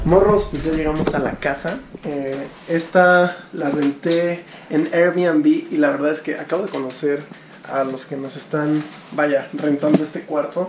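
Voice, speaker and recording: Over noticeable background noise, a man with a Mexican accent speaks at a fairly slow pace in a fairly high pitch with fairly even intonation. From Mexico. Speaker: travel vlogger. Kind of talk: casual travel vlog talk to camera. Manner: casual, humorous.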